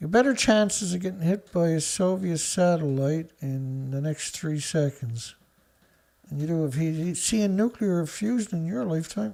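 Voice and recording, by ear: A man speaks in a fairly high pitch with a dark, mellow tone and vocal fry. He has a Newfoundland accent. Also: ordinary pitch variation, moderate pace. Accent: Newfoundland Canadian.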